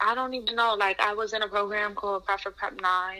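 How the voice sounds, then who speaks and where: A woman with an American accent uses a normal speaking voice at a fairly quick pace. Her pitch variation is ordinary. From New York City, Queens. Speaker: university student. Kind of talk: casual interview.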